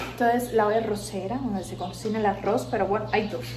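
A woman in a Cuban accent talks at a moderate pace over noticeable background noise. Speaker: YouTuber. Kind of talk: casual house tour to camera. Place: kitchen. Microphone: phone near.

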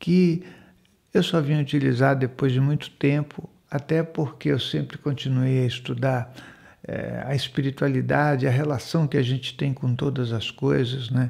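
A man speaks at a fairly slow pace in a dark, mellow, somewhat breathy voice against a quiet background. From Brazil, Manaus, Amazonas; Amazonas, Brazil. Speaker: spiritual center host. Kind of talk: monologue talk show on spirituality. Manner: conversational, with frequent fillers. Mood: calm, warm, reflective. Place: home room. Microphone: studio mic.

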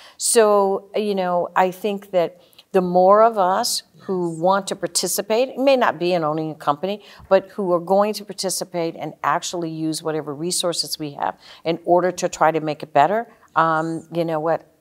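A woman with an American accent speaks at a fairly low pitch and a moderate pace with ordinary pitch variation against a quiet background. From Seattle, Washington, US. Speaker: business executive; guest. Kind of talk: interview. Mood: earnest, reflective. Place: studio.

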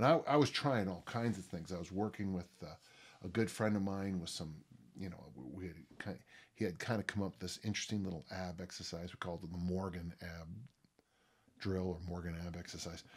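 Very deep and low, a man's voice moves at a fairly quick pace with ordinary pitch variation. Its loudness rises and falls in big swings. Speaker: podcast host, strength coach. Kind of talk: podcast monologue. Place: home room.

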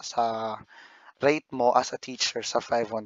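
Fairly even intonation from a man at a medium pitch. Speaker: YouTuber and online ESL teacher. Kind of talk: vlog talk.

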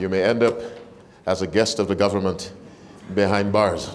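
Animated in tone, a man talks at a moderate pace. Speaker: preacher. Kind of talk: sermon. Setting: church; stage with audience. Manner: animated, call-and-response; warm, engaging with congregation. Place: church. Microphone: lapel.

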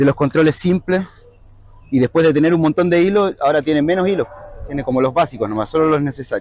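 A man at a very fast pace, ordinary pitch variation, dry sound with no echo. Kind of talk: interview answer. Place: street.

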